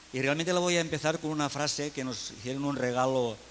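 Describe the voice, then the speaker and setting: Talking at a fairly quick pace with a Catalan accent, a man is heard with audible room echo and noticeable background noise. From Catalonia, Spain. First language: Catalan (speaking Spanish). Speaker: education speaker. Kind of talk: conference talk.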